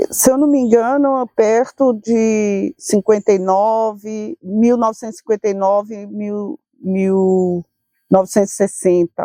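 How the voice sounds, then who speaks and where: A very slow voice with ordinary pitch variation and a dark, mellow tone, in a dry, close sound with no echo. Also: woman, fairly high pitch for a woman. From Northeast Brazil (Natal, then Recife). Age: 60s. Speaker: interviewee sharing family memories. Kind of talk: casual interview, personal reminiscence. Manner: halting, with many restarts.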